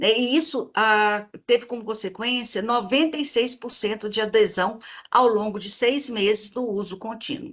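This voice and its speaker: A woman with a Minas Gerais accent, fairly high in pitch, with ordinary pitch variation and a fairly slow pace, against a quiet background. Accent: mineiro (Minas Gerais) Brazilian Portuguese. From Minas Gerais, Brazil. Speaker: researcher presenting her model. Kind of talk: online presentation / live stream. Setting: live video stream. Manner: hesitant fillers (eh, né).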